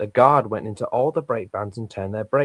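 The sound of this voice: An unforced reading voice, its pitch variation ordinary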